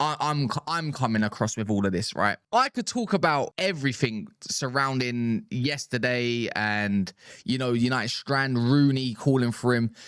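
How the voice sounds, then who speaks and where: A man at a medium pitch, on a very clean recording with a silent background. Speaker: football fan commentator. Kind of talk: casual reaction commentary. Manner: fast; halting, with repetitions.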